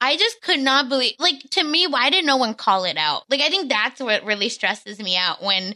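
A woman with a raised, projected voice, high pitch, very wide pitch swings, a bright, sharp tone, and a fairly quick pace. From India, moved to US. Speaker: guest, former reality TV cast member. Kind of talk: casual chat.

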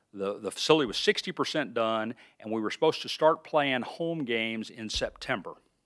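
A man with an Alabama accent talks at a fairly quick pace, at medium pitch with ordinary pitch variation. The recording is very clean, with a silent background. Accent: Southern US, Alabama. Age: 50s. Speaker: research park president, former county official. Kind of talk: casual interview.

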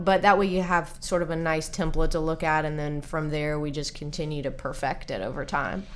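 Speaking at a fairly quick pace with hardly any pauses, a woman with a very deep, low pitch keeps her intonation fairly even amid audible room echo. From Nashville, Tennessee. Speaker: nutrition and fitness coach. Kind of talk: casual interview.

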